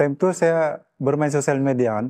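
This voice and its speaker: The voice has a dark, mellow tone and fairly even intonation at a fairly slow pace. The sound is dry and close, with no echo. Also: man, quiet background. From Sabah, Malaysia (Kota Marudu). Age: 20s. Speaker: vocational student, skills award winner. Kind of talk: interview.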